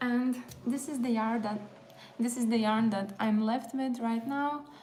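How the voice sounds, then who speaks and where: A woman with a Latvian accent talks at a fairly slow pace. Her pitch sits fairly high. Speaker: crochet content creator. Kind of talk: casual livestream chat while crafting. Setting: live stream, music in background. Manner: casual, hesitant with fillers.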